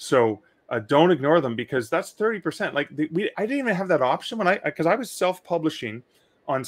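A man with a Canadian accent speaks with very wide pitch swings. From Canada. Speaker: author and publishing podcast host; publishing podcast host. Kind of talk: live Q&A stream. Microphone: studio mic.

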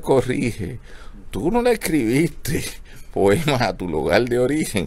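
Talking at a fairly slow pace, a man with a medium-pitched voice shows vocal fry. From Puerto Rico. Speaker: host of a book club show. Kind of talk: casual live broadcast, hosting. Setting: outdoors at a bookstore street, live stream. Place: shop.

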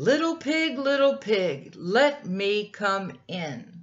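A put-on character voice, female-sounding, sits at a medium pitch with very wide pitch swings. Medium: read story. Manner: sly, threatening.

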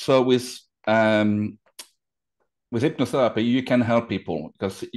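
Against a quiet background, a man with a French accent speaks at a moderate pace with fairly even intonation. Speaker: hypnotherapist. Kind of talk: interview answer. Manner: casual, hesitant. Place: home room. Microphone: video call.

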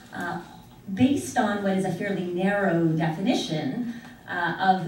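Someone with an American accent speaks at a moderate pace with ordinary pitch variation and big swings in loudness. Room echo is audible over light background noise. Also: woman. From United States. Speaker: international law scholar. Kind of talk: academic conference presentation. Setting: conference room with audience. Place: classroom. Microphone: camera far.

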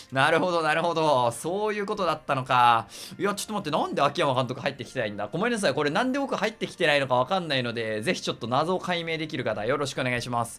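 Very fast talking with very wide pitch swings and hardly any pauses, over noticeable background noise. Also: man, fairly high pitch for a man. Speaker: gaming YouTuber. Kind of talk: game commentary. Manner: animated.

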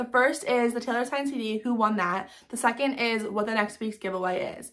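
Fairly quick and animated, a woman speaks at a fairly high pitch. Behind her the background is quiet. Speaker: fan vlogger hosting giveaways. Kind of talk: casual vlog to viewers. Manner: fast. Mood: grateful, warm. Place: home room. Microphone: phone near.

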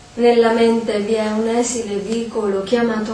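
At a very slow pace, a woman speaks at a fairly high pitch over noticeable background noise. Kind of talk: poetry reading. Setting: stage with audience.

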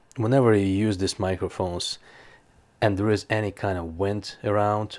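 The voice belongs to a man with a fairly low pitch. His intonation is monotone and flat. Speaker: gear reviewer. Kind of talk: product review talk. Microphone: lapel.

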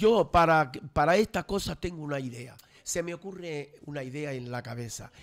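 A man with an ordinary speaking voice talks at a moderate pace and a fairly high pitch, with ordinary pitch variation. His loudness swings widely over a quiet background. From Canary Islands, Los Realejos (Tenerife); Canary Islands. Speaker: local traditions commentator; radio guest. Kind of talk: casual radio panel chat. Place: studio. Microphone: studio mic.

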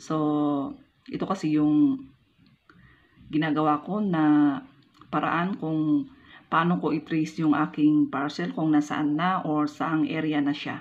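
A woman talks at a very slow pace with a Filipino accent. Her pitch is very deep and low, and her intonation stays fairly even. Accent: stiff, non-Manila Filipino pronunciation. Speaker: vlogger. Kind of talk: tutorial. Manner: occasionally stumbling over words. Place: home room. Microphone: phone near.

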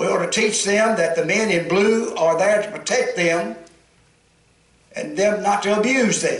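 A man talks at a fairly slow pace in a Southern US accent. Audible room echo and noticeable background noise surround his voice. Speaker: pastor. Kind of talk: sermon. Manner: holding back volume.

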